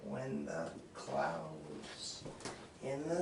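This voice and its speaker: Noticeable background noise is present. Through it, a man's voice comes across. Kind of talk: ASMR roleplay. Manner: singing.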